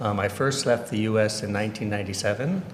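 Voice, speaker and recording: Talking at a very fast pace, a man with a Californian accent has a medium pitch and fairly even intonation. The recording has audible room echo and noticeable background noise. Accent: Californian American. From US, Orange County, California. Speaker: education director. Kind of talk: interview. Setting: livestream.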